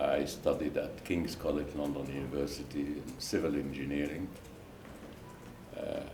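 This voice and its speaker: A man with a very deep, low pitch and monotone, flat intonation, at a moderate pace with long, frequent pauses, amid audible room echo and noticeable background noise. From Lebanon. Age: 70s. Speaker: retired engineer and banker. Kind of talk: interview, life story. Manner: halting, many fillers.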